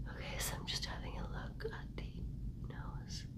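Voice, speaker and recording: A woman speaks with noticeable background noise. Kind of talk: medical exam roleplay, ASMR. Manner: soft-spoken, gentle, encouraging.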